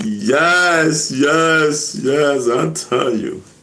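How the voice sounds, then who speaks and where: Man with a New York accent, audible room echo around him. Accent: New York Bronx. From New York, the Bronx (Castle Hill). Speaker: hip hop veteran, live streamer. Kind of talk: casual live stream chat. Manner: loud; animated.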